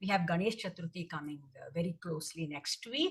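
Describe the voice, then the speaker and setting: Somewhat breathy, a woman talks at a moderate pace with a fairly low pitch. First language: Tamil. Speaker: dancer. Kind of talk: presentation talk. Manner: hesitant, many fillers.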